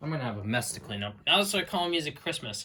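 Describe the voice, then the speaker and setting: Bright and sharp in tone, a man's voice sits fairly high in pitch. His intonation is lively. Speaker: YouTuber showing his CD collection. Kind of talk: casual video walkthrough. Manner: halting, self-correcting.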